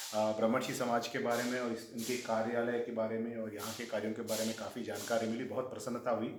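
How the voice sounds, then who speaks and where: With a Telangana accent, a man speaks at medium pitch and a moderate pace in a monotone, flat intonation. Audible room echo and noticeable background noise fill the recording. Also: hardly any pauses. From Andhra Pradesh/Telangana, Telugu-speaking. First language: Telugu (speaking Hindi). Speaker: government official. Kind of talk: casual interview.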